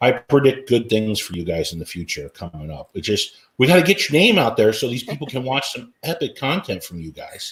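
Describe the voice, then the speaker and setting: Somewhat breathy, a man talks at a fairly quick pace with very wide pitch swings. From Washington State, US. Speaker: RV YouTube channel host. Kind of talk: casual interview chat.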